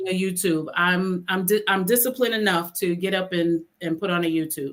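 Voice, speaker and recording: A woman with an unremarkable speaking voice talks at a fairly quick pace. Her pitch is medium and her intonation fairly even. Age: 60s. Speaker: therapist and author. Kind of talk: podcast interview.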